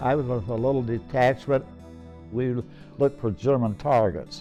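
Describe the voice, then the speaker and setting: With music in the background, a man speaks at a medium pitch and a moderate pace. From Ohio, USA. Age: 80s+. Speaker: World War II veteran. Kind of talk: interview answer.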